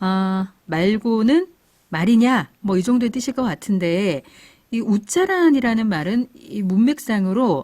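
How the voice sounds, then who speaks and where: Very slowly, a woman speaks at a fairly high pitch with very wide pitch swings. Her tone is dark and mellow, and somewhat breathy. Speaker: radio host. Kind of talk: radio program hosting.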